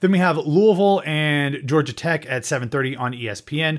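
Recorded very cleanly against a silent background, a man with an American accent has an unremarkable speaking voice, fairly high in pitch, with ordinary pitch variation and a moderate pace. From Ohio. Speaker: college football podcast host. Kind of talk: casual chat.

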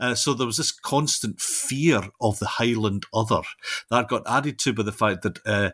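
Delivered in a West of Scotland accent with ordinary pitch variation, the voice has a dry, close sound with no echo on a very clean recording with a silent background. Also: man. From Scotland, Renfrewshire (southwest). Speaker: linguistics professor. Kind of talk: interview about his book. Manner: halting, many fillers.

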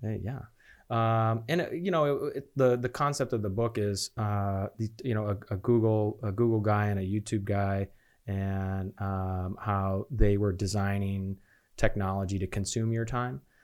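On a very clean recording with a silent background, a man with an American accent speaks fairly slowly at a fairly low pitch with ordinary pitch variation, in an ordinary speaking voice. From Chicago suburbs, US Midwest. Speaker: nonprofit executive director. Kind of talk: casual interview chat.

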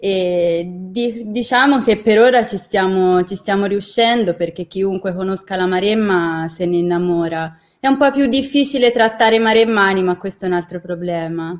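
A woman in an ordinary speaking voice talks at a moderate pace, her medium pitch showing ordinary variation. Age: 20s. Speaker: university student and intern. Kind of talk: interview conversation.

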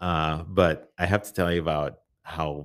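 A man speaks with an American accent at a very deep, low pitch. The recording is very clean, with a silent background. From rural Iowa. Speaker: men's ministry leader. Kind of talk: testimony.

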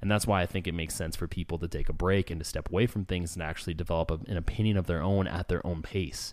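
Hardly pausing, a man speaks with a very deep, low pitch in a Californian accent. His intonation stays fairly even. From Southern California, San Diego area. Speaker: podcast host. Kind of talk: casual chat. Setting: home studio with echo.

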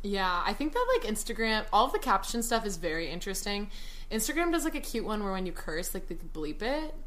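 A woman with an American accent speaks at a fairly quick pace in a fairly high pitch, using very wide pitch swings. Audible room echo and noticeable background noise are present. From Texas, Dallas. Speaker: TikTok creator. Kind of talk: casual chat. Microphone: poor audio quality.

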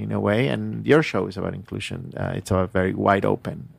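Pitch varies in an ordinary way. The recording is very clean, with a silent background. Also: man. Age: 40s. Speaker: radio station director and DJ. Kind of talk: interview. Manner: halting.

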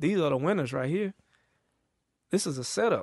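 Against a quiet background, a man with an Atlanta accent speaks with lively intonation. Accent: Southern US, Atlanta. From US South. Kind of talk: casual chat. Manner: animated.

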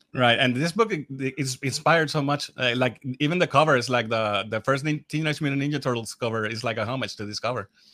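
A man in a Spanish accent, bright, sharp tone and hardly any pauses. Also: medium pitch for a man, ordinary pitch variation, fairly quick pace. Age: 40s. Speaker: podcast host. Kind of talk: casual interview. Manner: halting.

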